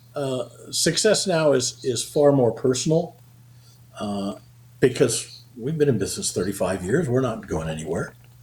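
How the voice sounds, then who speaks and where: With a fairly high pitch, vocal fry, and lively intonation, a man speaks at a moderate pace. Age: 70s. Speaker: accountant and payroll company founder. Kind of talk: interview. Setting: podcast interview. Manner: frequent fillers and hesitations.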